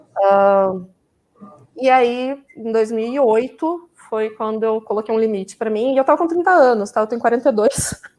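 A woman with an ordinary speaking voice talks at a fairly slow pace. Her pitch varies in an ordinary way. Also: fairly high pitch for a woman. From Campinas, São Paulo state, Brazil. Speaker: vegan food professional. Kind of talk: live stream conversation.

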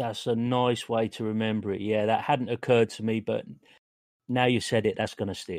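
A man's plain, everyday voice at medium pitch, fairly quick with fairly even intonation, on a very clean recording with a silent background. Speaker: podcast host and game master.

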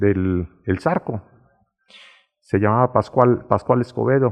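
This is a man speaking. His pace is fairly slow. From Mexico, León, Guanajuato. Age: 70s. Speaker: local elder and storyteller. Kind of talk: reminiscing interview.

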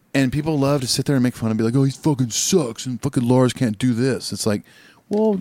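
Talking at a very fast pace with an American accent, a man speaks at a medium pitch on a very clean recording with a silent background. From Southern California. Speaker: podcast co-host and musician. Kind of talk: casual chat.

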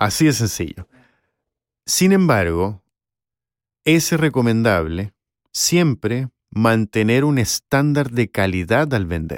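A man speaks at a very slow pace, with very wide pitch swings and long, frequent pauses. The sound is dry and close with no echo, on a very clean recording with a silent background. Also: medium pitch for a man. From Chile. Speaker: voice actor and former university professor. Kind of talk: interview.

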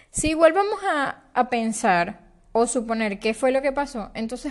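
At a moderate pace, a woman talks in a high voice. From Venezuela. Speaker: podcast host. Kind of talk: personal storytelling podcast monologue. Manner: warm, conversational.

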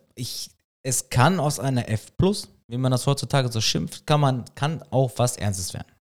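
With lively intonation and a medium pitch, a man talks at a moderate pace in an unremarkable speaking voice. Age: 30s. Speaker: podcast co-host. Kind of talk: casual chat.

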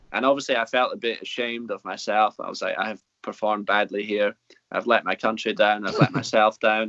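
A man speaks at a fairly quick pace in a medium pitch with monotone, flat intonation. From Scotland. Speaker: podcast co-host. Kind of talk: casual chat. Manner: hesitant, many fillers.

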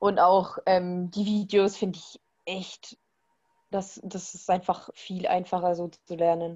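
Speaking very slowly with long, frequent pauses, a woman of medium pitch keeps a monotone, flat intonation while her loudness swings widely. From Bavaria, Germany. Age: 20s. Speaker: former hunting student. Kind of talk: casual interview.

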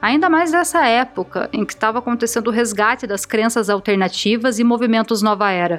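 A woman at a fairly high pitch and a fairly quick pace, with hardly any pauses, over music in the background. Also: lively intonation. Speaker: podcast host and narrator. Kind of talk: scripted storytelling narration.

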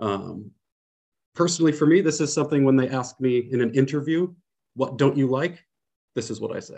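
Speaking with a Californian accent, a man has a medium pitch, ordinary pitch variation and a dark, mellow tone. His pace is fairly quick, broken by long, frequent pauses. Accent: Californian American. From US, San Francisco Bay Area. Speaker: English teacher. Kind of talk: casual educational chat.

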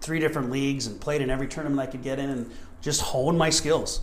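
In an American accent, a man with a fairly high voice talks in a monotone, flat way, with audible room echo. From Montana. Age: 40s. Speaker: soccer coach and former player. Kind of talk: interview.

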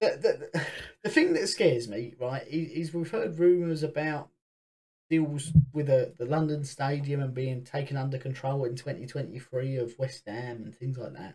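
The man's voice is somewhat breathy and fairly high in pitch. He talks at a fairly slow pace with ordinary pitch variation. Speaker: football podcast host. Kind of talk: casual football chat and rant.

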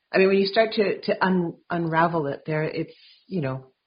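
Speaking at a fairly slow pace with an ordinary amount of pitch movement, a woman with a Canadian accent sounds somewhat breathy. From Vancouver, Canada. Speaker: podcast host. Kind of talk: interview conversation.

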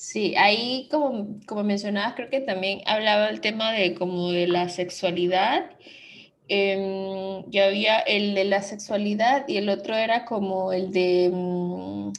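A woman speaks at a very slow pace. Her pitch is medium and her intonation fairly even. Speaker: podcast host. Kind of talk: casual chat.

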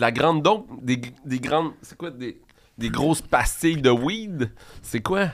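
Very slow in pace, a man speaks in a fairly high pitch with lively intonation and big swings in loudness. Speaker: podcast co-host. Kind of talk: casual chat.

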